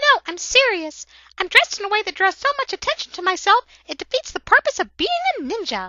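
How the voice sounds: A female-sounding put-on character voice at an extremely high pitch and a fairly quick pace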